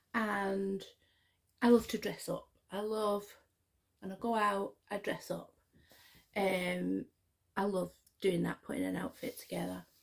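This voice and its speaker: With a Scottish accent, a woman speaks at a fairly slow pace, leaving long, frequent pauses. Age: 50s. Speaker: YouTuber. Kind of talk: casual vlog chat. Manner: chatty, hesitant with fillers.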